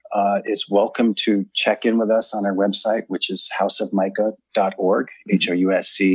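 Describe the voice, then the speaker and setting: A man with an American accent talks at a moderate pace in a plain, everyday voice, fairly low in pitch. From US. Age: 60s. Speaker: author and ceremony leader. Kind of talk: interview.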